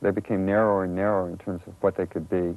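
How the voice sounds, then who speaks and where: This man has a Californian accent and a fairly low-pitched voice. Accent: General American (Californian). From California, rural area near Los Angeles. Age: 40s. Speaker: artist. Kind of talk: interview monologue. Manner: hesitant, many filler ums; reflective, measured.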